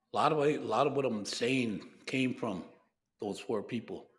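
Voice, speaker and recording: A man's very slow speech in an American accent, at a medium pitch with ordinary pitch variation, amid audible room echo. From Lakota, Great Plains US. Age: 70s. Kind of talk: conference speech. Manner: halting, with repetitions.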